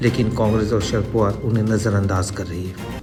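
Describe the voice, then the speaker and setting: With music playing behind him, a man talks at a moderate pace. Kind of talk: news commentary narration.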